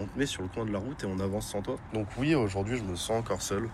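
A man talks at a fairly quick pace in a somewhat breathy voice. His speech has audible room echo. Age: 20s. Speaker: guest sharing personal story. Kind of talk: testimony. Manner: halting.

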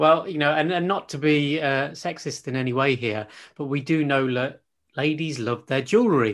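A man with a normal speaking voice talks at a moderate pace against a quiet background. His pitch is fairly high, with ordinary pitch variation. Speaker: podcast host and coach. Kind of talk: casual interview.

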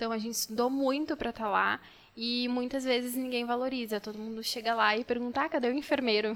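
At a very fast pace, a woman speaks with a high pitch and fairly even intonation. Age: 20s. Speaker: pharmacist. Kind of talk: casual chat.

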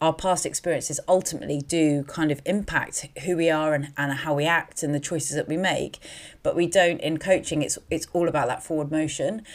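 A woman with a British accent has a very deep, low pitch and fairly even intonation. She talks at a fairly quick pace. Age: 30s. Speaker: life coach and podcast host. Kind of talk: solo podcast monologue. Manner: hesitant, many fillers.

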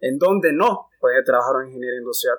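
At a fairly quick pace, a man talks in a plain, everyday voice with fairly even intonation. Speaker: engineering student representative. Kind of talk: casual chat.

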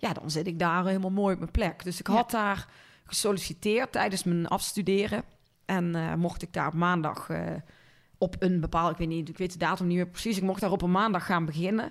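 The recording is very clean with a silent background, and the speech moves at a fairly quick pace with fairly even intonation. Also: woman, medium pitch for a woman. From Netherlands, North Brabant (Linden near Cuijk). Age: 40s. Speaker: marketing agency owner. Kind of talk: casual interview.

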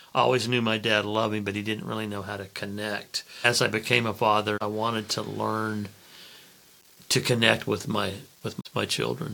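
Speaking at a moderate pace with an American accent, a man talks in a fairly low, flat monotone over noticeable background noise. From Oklahoma, US. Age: 60s.

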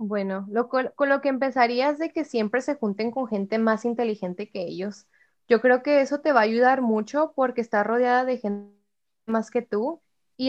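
A woman with an ordinary speaking voice talks at a moderate pace and fairly high pitch, with ordinary pitch variation. The background is quiet, and the sound is dry and close with no echo. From Mexico, Ciudad Juárez, Chihuahua. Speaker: university student. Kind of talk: casual chat.

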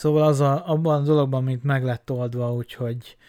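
In a very clean recording with a silent background, a man speaks at a moderate pace with monotone, flat intonation. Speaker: podcaster. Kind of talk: solo monologue. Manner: halting, many fillers.

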